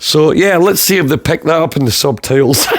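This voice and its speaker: With a Scottish accent and lively intonation, a man speaks over noticeable background noise. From Scotland. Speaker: podcast host.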